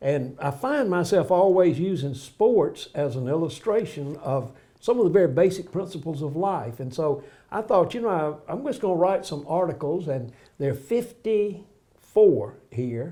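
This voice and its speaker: A man with a Southern US accent speaks at a moderate pace in a high voice, his tone dark and mellow and his intonation lively. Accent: US South. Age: 80s+. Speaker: pastor and author. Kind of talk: casual interview.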